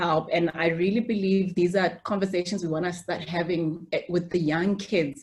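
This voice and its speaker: A woman speaks at a moderate pace in a somewhat breathy, fairly low voice with fairly even intonation. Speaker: medical doctor. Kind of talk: interview.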